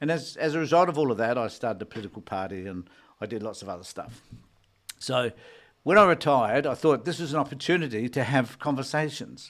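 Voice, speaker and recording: A man talks at a very fast pace in an Australian accent. His intonation is lively, with big swings in loudness. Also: medium pitch for a man, very clean recording, silent background. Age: 70s. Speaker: retired social worker and political commentator. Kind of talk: solo live stream talk. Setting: solo live stream.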